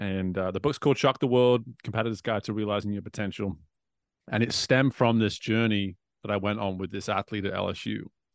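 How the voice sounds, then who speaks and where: A man with a northwest English accent speaks at a very fast pace in a fairly low pitch with fairly even intonation. The sound is dry and close, with no echo. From northwest England. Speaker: swim coach and executive coach, author. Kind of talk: casual podcast interview.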